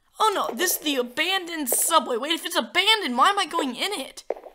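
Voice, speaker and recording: A woman uses a raised, projected voice at a fairly quick pace, her pitch swinging very widely. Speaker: gaming YouTuber. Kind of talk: gameplay commentary. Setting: home recording, screen capture. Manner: casual, filler words.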